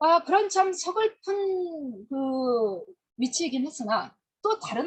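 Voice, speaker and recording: A woman speaks with very wide swings in pitch. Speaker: history lecturer. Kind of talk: lecture.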